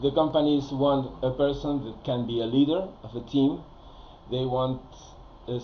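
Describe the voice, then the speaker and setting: In a room with audible echo, a man speaks at a fairly slow pace and a medium pitch. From Spain. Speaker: career advisor. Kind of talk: recorded presentation. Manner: hesitant, many fillers.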